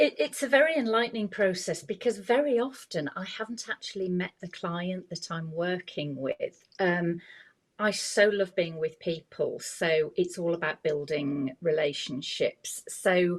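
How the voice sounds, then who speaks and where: With a normal speaking voice, a woman speaks at a fairly slow pace and medium pitch, her intonation lively. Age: 60s. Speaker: image consultant. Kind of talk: podcast interview.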